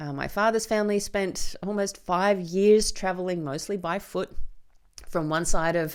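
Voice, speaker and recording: The recording is very clean, with a silent background. A woman with an Australian accent speaks at a moderate pace. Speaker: podcast host and filmmaker. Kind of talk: solo podcast monologue. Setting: studio with microphone and camera.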